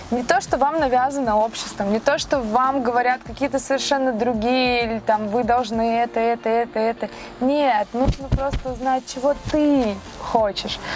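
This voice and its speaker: Speech at a moderate pace with very even loudness over noticeable background noise. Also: woman, high pitch for a woman. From Russia, Saint Petersburg. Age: 30s. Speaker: car owner, fitness blogger. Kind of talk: casual interview. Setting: outdoors and in a car. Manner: animated.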